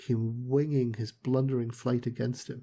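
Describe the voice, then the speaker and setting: Soft-spoken and somewhat breathy, a man at medium pitch has a dark, mellow tone on a very clean recording with a silent background. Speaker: audiobook narrator. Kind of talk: reading aloud. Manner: slow.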